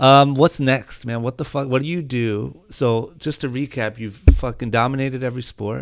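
A man with an unremarkable speaking voice talks in an American accent at medium pitch. His pace is moderate with hardly any pauses, and his intonation is fairly even. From Ohio. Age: 20s. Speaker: podcast host. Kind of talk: casual interview chat.

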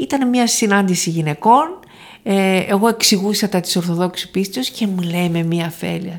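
In a very clean recording with a silent background, a woman talks at a fairly slow pace in a fairly low pitch, a normal speaking voice. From Thessaloniki, northern Greece. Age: 60s. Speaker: professor emerita of theology. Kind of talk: interview.

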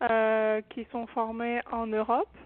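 A woman is speaking. Her pitch is fairly high. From France. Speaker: shamanic practitioner. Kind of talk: testimony.

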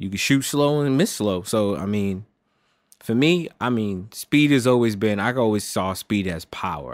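With an American accent, a man in an ordinary speaking voice talks at a moderate pace with ordinary pitch variation, on a very clean recording with a silent background. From United States. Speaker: archery podcast co-host. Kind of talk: casual chat.

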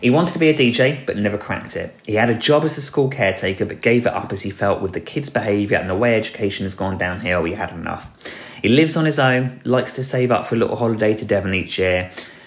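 Very fast speech from a man with an English accent, medium pitch, and lively intonation, over noticeable background noise. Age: 40s. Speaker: podcast host. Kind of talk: solo commentary podcast. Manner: hesitant, with filler words.

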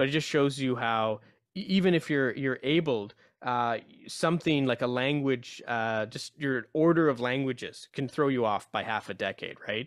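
In a very clean recording with a silent background, a man speaks at a moderate pace and medium pitch, with ordinary pitch variation. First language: Urdu. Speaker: radio host. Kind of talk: interview. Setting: radio studio.

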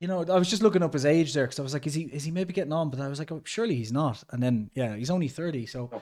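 Talking very fast with hardly any pauses, a man with an Irish accent uses a fairly high pitch and lively intonation. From Ireland. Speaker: podcast host. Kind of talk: casual podcast chat. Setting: video call, host abroad in Mexico.

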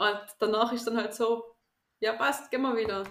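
An unremarkable speaking voice, a woman's, fairly high in pitch, with fairly even intonation and a fairly quick pace. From Austria, Tyrol. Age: 20s. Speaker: teacher and calisthenics athlete. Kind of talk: interview.

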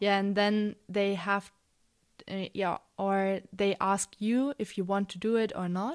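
In a German accent, a woman talks at a very slow pace. Her intonation is fairly even. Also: medium pitch for a woman, very clean recording, silent background. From Munich, Germany. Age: 20s. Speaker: student. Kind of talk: interview. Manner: hesitant, many fillers.

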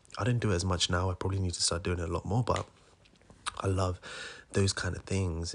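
A man talks at a very fast pace in a somewhat breathy voice. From India. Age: 20s. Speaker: aspiring entrepreneur podcaster. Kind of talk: casual solo monologue.

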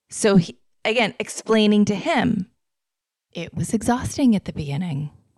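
Somewhat breathy and lively in intonation, a woman at medium pitch speaks in an American accent at a moderate pace. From Florida. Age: 40s. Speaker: podcast host. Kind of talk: personal monologue. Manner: casual, laughs often.

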